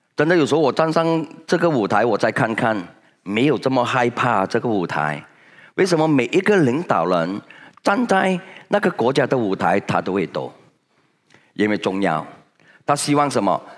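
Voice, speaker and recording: Medium-pitched male voice with vocal fry, very wide pitch swings, moderate pace, long and frequent pauses, quiet background. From Malaysia. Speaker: senior direct-sales leader; motivational speaker. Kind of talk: motivational talk. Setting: stage with audience. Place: hall. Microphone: headset.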